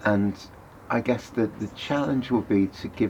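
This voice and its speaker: Noticeable background noise sits behind a man's voice. He talks at a moderate pace with fairly even intonation. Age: 70s. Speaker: dance teacher and author. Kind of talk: interview.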